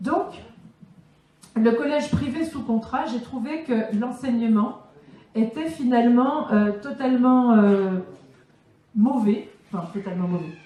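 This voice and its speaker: In a slight southern French accent, a woman speaks at a very slow pace with long, frequent pauses, high in pitch with lively intonation and big swings in loudness, in audible room echo. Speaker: teacher and political speaker. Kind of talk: conference Q&A answer. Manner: halting, many fillers.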